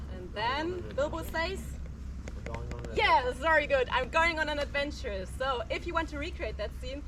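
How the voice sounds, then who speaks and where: A woman speaks in a German accent against noticeable background noise. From Germany. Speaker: tour guide. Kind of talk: guided tour talk.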